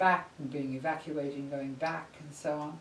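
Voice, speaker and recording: A woman with an English accent speaks at a fairly slow pace, with audible room echo and noticeable background noise. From England. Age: 80s+. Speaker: psychologist. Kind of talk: interview.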